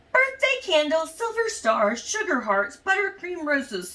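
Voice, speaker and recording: A put-on character voice at a moderate pace, with very wide pitch swings. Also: woman, extremely high pitch for a woman. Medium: read story.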